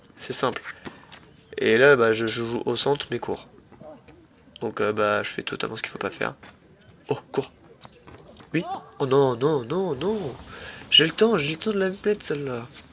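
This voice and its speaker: Amid noticeable background noise, a man speaks with very wide pitch swings and long, frequent pauses. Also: fairly high pitch for a man, fairly slow pace. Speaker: amateur tennis YouTuber. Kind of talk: match commentary voice-over. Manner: animated.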